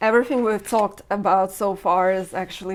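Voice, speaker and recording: This woman's voice is shaky and sits at a medium pitch. She speaks at a fairly quick pace. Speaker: podcast host. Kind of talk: casual interview conversation. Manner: shaky voice.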